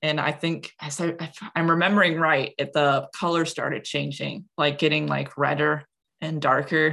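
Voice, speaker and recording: A woman with an American accent speaks at a moderate pace in a very deep, low pitch, with vocal fry and monotone, flat intonation. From US Midwest, Wisconsin. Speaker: comic creator and art teacher. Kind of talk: casual interview.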